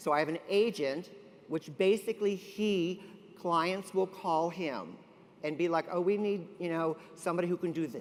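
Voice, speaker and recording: A man with an American accent and a high pitch talks at a moderate pace in an animated tone. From US South, Kentucky. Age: 50s. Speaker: celebrity hairstylist. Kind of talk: motivational stage talk. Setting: stage with audience.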